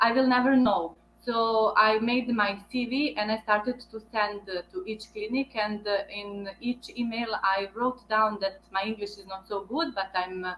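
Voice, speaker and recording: Speaking with a Bosnian accent, a woman uses a fairly high pitch with ordinary pitch variation, moving at a fairly slow pace with hardly any pauses. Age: 30s. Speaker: veterinarian. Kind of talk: interview. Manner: halting.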